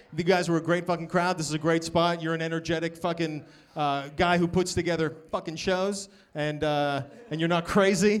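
In a Boston accent, a man with a high pitch speaks in a monotone, flat intonation. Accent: Boston American. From US, Boston area. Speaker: comedian. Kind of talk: live podcast chat. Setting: stage with audience.

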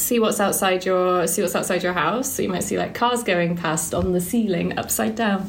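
A woman at a fairly quick pace, with ordinary pitch variation and very even loudness, over noticeable background noise. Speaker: guest. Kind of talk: casual chat.

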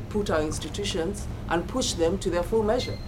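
Over noticeable background noise and audible room echo, a woman with a fairly low pitch talks at a fairly quick pace with ordinary pitch variation. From Kenya. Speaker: university lecturer. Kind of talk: panel talk.

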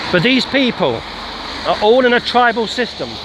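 A man talks in a high-pitched voice with ordinary pitch variation over noticeable background noise. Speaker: street preacher. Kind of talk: sermon. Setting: outdoors, walking.

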